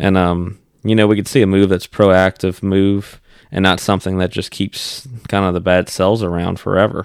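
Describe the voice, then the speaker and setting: Against a silent background in a very clean recording, a man with a very deep, low pitch talks at a moderate pace in a monotone, flat intonation. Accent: Louisiana. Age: 30s. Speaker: podcast host, fishing guide. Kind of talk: casual chat.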